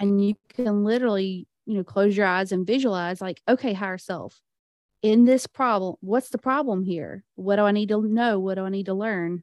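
A woman talks at a moderate pace in an ordinary speaking voice. Her intonation is fairly even, and the sound is dry and close with no echo. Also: medium pitch for a woman. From US South. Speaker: business client and aspiring podcaster. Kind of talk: casual interview chat.

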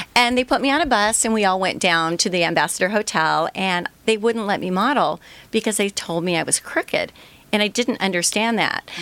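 Lively in intonation and fairly quick, a woman at medium pitch uses a normal speaking voice in a very clean recording with a silent background. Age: 60s. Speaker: entrepreneur, product founder. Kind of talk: interview, personal story. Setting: radio studio.

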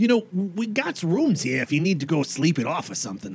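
Putting on a character voice, a man speaks high in pitch at a fairly quick pace against clear background noise. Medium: actual play. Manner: casual, chatty.

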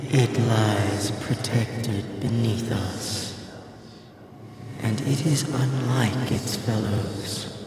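A man speaks in a put-on character voice at a very slow pace and medium pitch, with clear background noise and a clear echo. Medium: actual play. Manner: formal, solemn, archaic phrasing.

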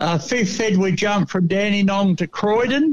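Lively intonation runs through this voice with an Australian accent. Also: man. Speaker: pigeon racing correspondent. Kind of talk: radio report of race results. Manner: halting, many fillers.

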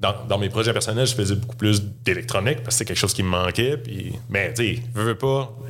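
At a fairly quick pace with hardly any pauses, a man of medium pitch speaks with fairly even intonation over noticeable background noise and audible room echo. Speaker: space engineering graduate, software engineer. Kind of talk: casual interview.

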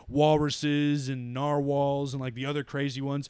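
Recorded very cleanly over a silent background, a man with an ordinary speaking voice talks at a moderate pace and fairly high pitch. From Canada. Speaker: podcast co-host. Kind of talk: casual chat.

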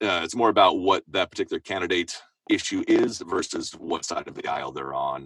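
A man with an American accent speaks at a moderate pace, the sound dry and close with no echo. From Seattle, US Pacific Northwest. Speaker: voiceover performer and musician. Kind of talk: interview. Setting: home recording booth.

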